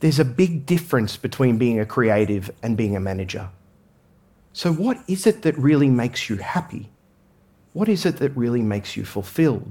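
With an Australian accent, a man speaks at a moderate pace and medium pitch, his tone dark, mellow and somewhat breathy. His pitch swings very widely, and the recording is very clean with a silent background. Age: 40s. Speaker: management consultant and former priest. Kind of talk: talk to an audience.

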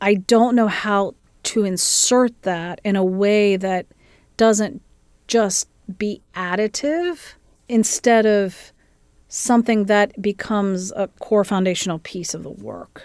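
On a very clean recording with a silent background, a woman with a Midwestern American accent speaks very slowly at a medium pitch with ordinary pitch variation. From US Midwest, southeastern Ohio. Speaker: music school dean. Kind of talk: interview.

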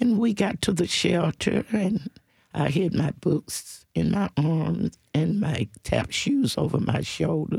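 The sound is dry and close with no echo as a woman talks at a very slow pace. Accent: Southern US. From US South, Nashville. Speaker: civil rights activist. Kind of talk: testimony.

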